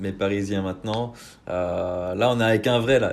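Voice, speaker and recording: A man's fairly low voice at a moderate pace, with ordinary pitch variation and audible room echo. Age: 20s. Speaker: podcast host. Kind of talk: casual interview. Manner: casual, hesitant with many fillers.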